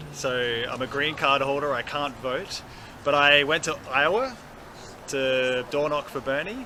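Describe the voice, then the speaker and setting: A man with an Australian accent speaks at a fairly slow pace and a fairly high pitch. His intonation is fairly even, and background noise is noticeable. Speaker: campaign volunteer. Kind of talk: street interview. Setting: outdoors.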